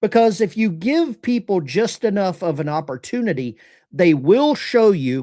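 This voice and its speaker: A man with a lower Alabama accent at a fairly slow pace, very wide pitch swings, a dry, close sound with no echo, and a very clean recording with a silent background. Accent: Southern US (lower Alabama). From US South, lower Alabama. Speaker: political commentary livestream host. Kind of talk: live-stream commentary. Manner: casual, conversational.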